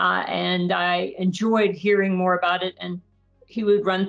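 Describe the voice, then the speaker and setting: A woman's medium-pitched voice with music in the background. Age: 50s. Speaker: bioengineering researcher and startup advisor. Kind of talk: podcast interview. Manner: halting.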